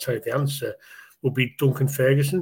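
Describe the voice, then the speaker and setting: A somewhat breathy man at medium pitch, on a very clean recording with a silent background. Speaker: Everton fan guest. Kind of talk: casual chat about football.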